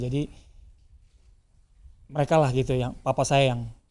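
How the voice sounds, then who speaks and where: In a dark, mellow tone and a medium pitch, a man speaks at a moderate pace with monotone, flat intonation. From Jakarta, Indonesia. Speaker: professional footballer. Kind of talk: interview. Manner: halting.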